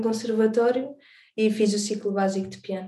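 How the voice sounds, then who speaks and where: A woman's fairly high, dark, mellow voice at a moderate pace, in monotone, flat intonation. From Alentejo, Portugal (born in the Azores). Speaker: singer and songwriter. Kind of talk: interview.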